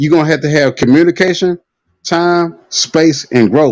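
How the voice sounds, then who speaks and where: His pace is fairly quick. The voice is a man's. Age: 30s. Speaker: live stream participant. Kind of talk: casual chat. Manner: animated.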